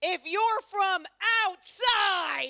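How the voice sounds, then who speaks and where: A woman with an American accent speaks at a very slow pace and an extremely high pitch, her voice raised and projected. The sound is dry and close, with no echo. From United States. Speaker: stand-up comedian and lecturer. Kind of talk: stand-up. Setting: outdoor stage with audience, in the rain.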